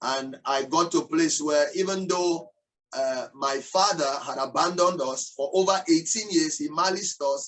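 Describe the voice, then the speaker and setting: A man's high-pitched voice with a Nigerian accent, ordinary pitch variation and a moderate pace. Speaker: entrepreneur and motivational speaker. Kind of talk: interview testimony. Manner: hesitant, many fillers.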